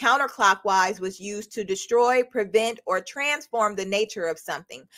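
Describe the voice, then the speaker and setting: On a very clean recording with a silent background, a woman with a plain, everyday voice speaks at a moderate pace with hardly any pauses, her fairly high pitch showing ordinary variation while her loudness swings a lot. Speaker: storyteller reading a book aloud. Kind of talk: reading aloud a book chapter as storytelling narration. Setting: video stream with screen share.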